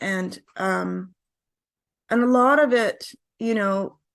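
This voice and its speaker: A woman is speaking. The background is quiet. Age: 60s. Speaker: singer-songwriter. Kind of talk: interview.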